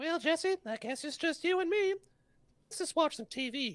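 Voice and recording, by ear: A put-on character voice with extremely high pitch moves at a moderate pace over a very clean recording with a silent background.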